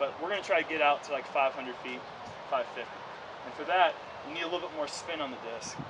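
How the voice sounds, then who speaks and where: Over noticeable background noise, a man speaks at a very fast pace. His pitch is fairly high. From US South, North Carolina. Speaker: disc golf pro. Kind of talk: outdoor clinic demonstration.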